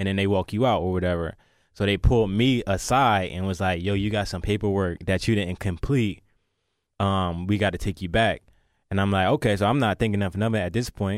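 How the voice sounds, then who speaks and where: An ordinary speaking voice from a man, fairly low in pitch, fairly quick, with fairly even intonation. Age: 20s. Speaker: rapper. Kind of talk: interview.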